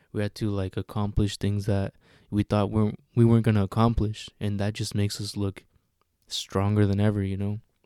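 A man's fairly low, dark, mellow voice in a flat monotone at a fairly quick pace, dry and close with no echo, on a very clean recording with a silent background. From Guanajuato, Mexico, raised in US from age two. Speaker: podcast host. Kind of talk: solo casual podcast monologue.

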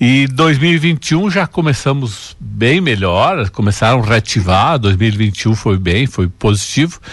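Speaking at a very slow pace with hardly any pauses, a man uses a medium pitch with very wide pitch swings. His voice is somewhat breathy. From Água Santa, Rio Grande do Sul, southern Brazil. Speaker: business owner. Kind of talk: radio interview.

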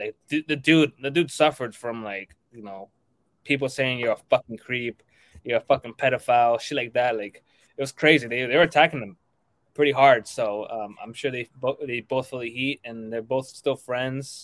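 In a dry, close sound with no echo, a man talks in a normal speaking voice at medium pitch and a moderate pace, his intonation fairly even but his loudness swinging widely. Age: young. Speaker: podcast co-host. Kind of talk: casual chat.

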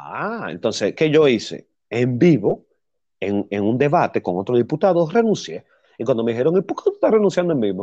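Fairly high in pitch, a man talks with a dark, mellow tone and very wide pitch swings at a fairly quick pace. The background is quiet. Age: 30s. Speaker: podcast host. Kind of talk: casual chat.

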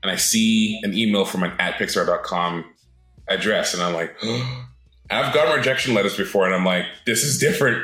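A man with a slight North American accent talks fairly quickly at medium pitch with ordinary pitch variation over noticeable background noise. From Britain, raised in several countries. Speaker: animator. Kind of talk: casual interview. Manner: casual, halting, with fillers.

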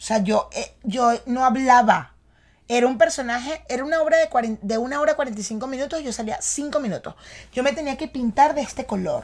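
In a very clean recording with a silent background, a woman with a Venezuelan accent speaks at a high pitch and a fairly quick pace, with ordinary pitch variation. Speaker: podcast host and actress. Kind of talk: casual chat. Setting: studio in New York.

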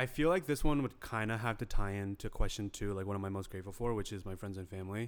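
Speaking at a very fast pace with hardly any pauses, a man with an American accent uses a fairly low pitch and ordinary pitch variation. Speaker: podcast co-host. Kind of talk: casual chat. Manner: playful, joking.

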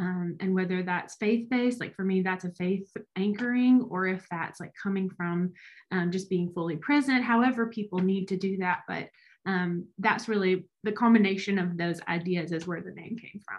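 This woman has a medium pitch and a somewhat breathy voice. She talks at a moderate pace with ordinary pitch variation. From Alabama, small town. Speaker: business consultant. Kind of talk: casual interview.

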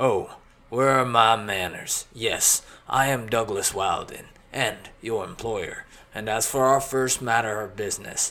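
Putting on a character voice, a man speaks at medium pitch. His pace is fairly slow and his intonation fairly even. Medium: read story. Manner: smooth, commanding, genial.

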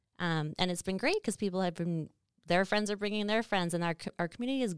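A woman with a Canadian Prairie accent, recorded with a dry, close sound and no echo. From Saskatchewan, Canada. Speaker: podcast host, marketing business owner. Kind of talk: casual chat.

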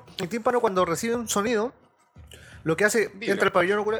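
A speaker with a Chilean accent talks over music in the background. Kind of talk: casual chat.

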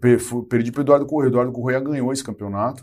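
On a very clean recording with a silent background, a man speaks at medium pitch with a dark, mellow tone. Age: 30s. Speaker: nutritionist and bodybuilding coach. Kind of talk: casual interview chat.

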